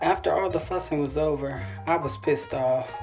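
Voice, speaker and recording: A woman at a fairly slow pace, with music in the background. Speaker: author. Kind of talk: personal memoir audiobook reading.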